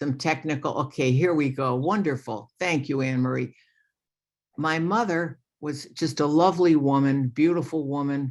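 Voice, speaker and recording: Over a quiet background, a woman with a New York accent speaks in a very deep, low-pitched voice with ordinary pitch variation. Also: moderate pace. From New York, Long Island. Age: 70s. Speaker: retired lawyer sharing recovery story. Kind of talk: recovery testimony at online meeting. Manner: hesitant, many fillers.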